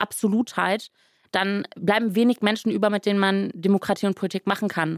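A woman of medium pitch speaks at a moderate pace in a monotone, flat intonation, with a dry, close sound and no echo. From western Germany, Rhineland (Grevenbroich). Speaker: politician. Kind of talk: interview.

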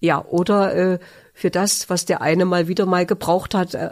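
A woman talks in a fairly low pitch with monotone, flat intonation. The recording is very clean, with a silent background. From Thuringia, near Magdala. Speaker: retail cooperative executive, former shop assistant. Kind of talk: interview testimony. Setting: studio. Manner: hesitant, many fillers.

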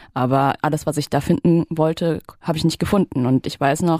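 The voice has a dark, mellow tone in a dry, close sound with no echo, on a very clean recording with a silent background. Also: woman. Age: 30s. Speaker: artist. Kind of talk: casual interview chat.

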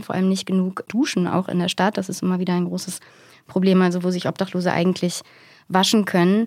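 At a very fast pace, a woman speaks at medium pitch on a very clean recording with a silent background. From Germany, East Westphalia. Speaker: journalist. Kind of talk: podcast interview. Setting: studio.

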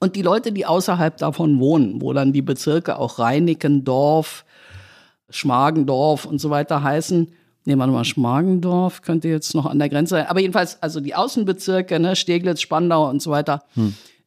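At a moderate pace, a woman with a very deep, low voice speaks with ordinary pitch variation in a very clean recording with a silent background. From West Berlin, Germany (born in Tehran). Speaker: political journalist. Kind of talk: casual chat.

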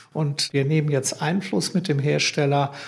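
With a fairly high pitch, this man's voice comes across somewhat breathy. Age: 70s. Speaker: green investment fund founder. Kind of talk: interview.

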